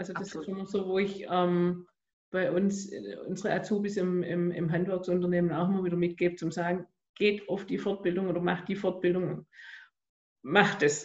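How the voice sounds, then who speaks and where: With a Swabian accent, a woman speaks at medium pitch in a somewhat breathy voice and a monotone, flat intonation. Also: moderate pace. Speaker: podcast host and life coach. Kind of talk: interview.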